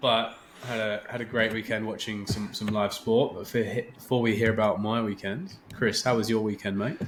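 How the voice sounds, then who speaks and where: Music plays in the background as a man with an English accent talks at a moderate pace with hardly any pauses. His pitch is medium and his intonation monotone and flat. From England. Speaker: podcast host. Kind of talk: casual chat.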